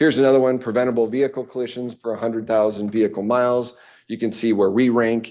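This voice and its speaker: A man's very fast, monotone delivery at medium pitch, dark and mellow in tone, over a quiet background. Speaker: transit agency staff presenter. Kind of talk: board committee presentation. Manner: many fillers (um, uh).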